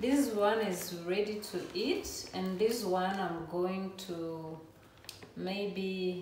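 A woman speaks at a very slow pace. Audible room echo and noticeable background noise fill the recording. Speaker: vlogger. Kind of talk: casual vlog chat. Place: kitchen. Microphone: camera far.

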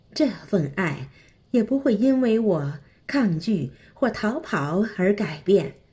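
Music plays in the background as a woman speaks at a very slow pace. Her pitch swings very widely. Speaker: devotional reader. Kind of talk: devotional scripture reading.

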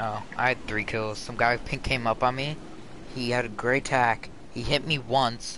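Speaking at a fairly slow pace with fairly even intonation, this is a normal speaking voice with an American accent. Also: man. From Florida, US. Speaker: video game streamer. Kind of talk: casual live gameplay commentary.

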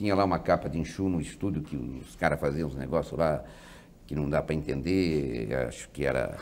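A man speaks with vocal fry. His tone is dark and mellow. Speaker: guest. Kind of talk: interview answer. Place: studio. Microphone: lapel.

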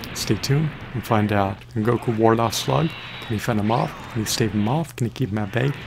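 Fairly quick, medium-pitched speech from a man, with ordinary pitch variation over noticeable background noise. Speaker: gaming commentator. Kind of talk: live game commentary, scripted-sounding play by play. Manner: animated, theatrical, rattling off strings of synonyms; excitable, dramatic hype. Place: home room.

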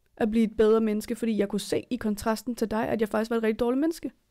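Against a quiet background, a woman with a fairly high pitch and a dark, mellow tone talks at a very fast pace with fairly even intonation. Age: 20s. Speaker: podcast co-host. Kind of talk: casual chat. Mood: earnest, reflective. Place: home room.

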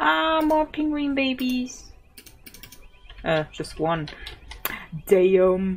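Over noticeable background noise, a woman with a medium pitch speaks very slowly, with very wide pitch swings and long, frequent pauses. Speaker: gaming YouTuber. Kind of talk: gameplay commentary. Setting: home recording at PC. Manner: giggly.

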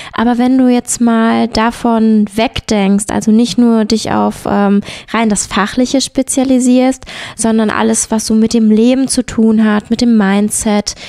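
A woman's fairly high voice, monotone and flat, at a fairly slow pace, with a dark, mellow tone and very even loudness. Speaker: podcast host. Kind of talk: interview.

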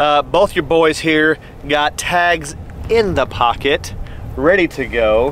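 A man in a dry sound with no echo, over light background noise. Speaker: hunting channel host. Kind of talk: casual vlog chat. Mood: jokey, upbeat. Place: open country.

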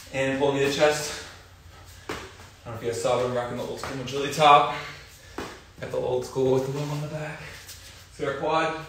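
A man talks at a fairly quick pace in a monotone, flat way, with audible room echo and light background noise. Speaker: fitness instructor. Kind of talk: workout instruction and casual chat. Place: garage. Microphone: camera far.

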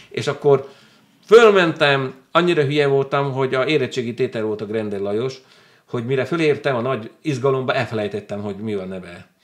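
A man with lively intonation at a fairly quick pace, over a quiet background. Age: 50s. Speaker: book club owner, former ship captain; interview guest. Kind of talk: interview. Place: studio. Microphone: studio mic.

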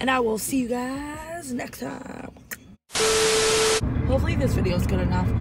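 A woman's voice against clear music in the background. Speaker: vlogger. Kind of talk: casual vlog chat. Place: car. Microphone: phone near.

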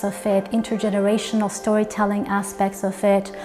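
Clear music plays in the background. Over it, a woman speaks at a fairly high pitch for a woman. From Iran. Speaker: multidisciplinary artist. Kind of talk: interview answer. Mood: calm, reflective. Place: studio. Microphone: lapel.

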